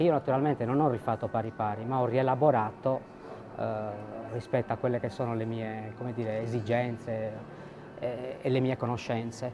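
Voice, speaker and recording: Music plays behind a man speaking at a medium pitch. His delivery is monotone and flat, at a moderate pace. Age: 60s. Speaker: ceramic artisan. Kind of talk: interview. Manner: hesitant, with fillers.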